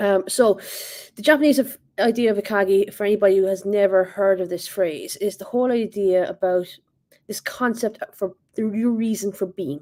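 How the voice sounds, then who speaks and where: Moderate pace and ordinary pitch variation, with an Irish accent. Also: woman, medium pitch for a woman. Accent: Irish, noticeable. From Ireland. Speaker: assistant principal, speaker. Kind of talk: leadership talk. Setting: online virtual event.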